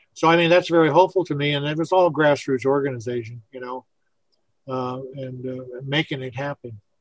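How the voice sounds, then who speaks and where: A man with an American accent uses a plain, everyday voice, fairly high in pitch, at a fairly quick pace with fairly even intonation and big swings in loudness. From US Pacific Northwest. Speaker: radio host. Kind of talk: casual chat.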